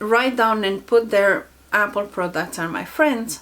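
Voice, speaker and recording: A woman speaks with a non-native accent at a fairly high pitch, with ordinary pitch variation. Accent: foreign. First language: not English. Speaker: self-help youtuber. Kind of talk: casual vlog talk.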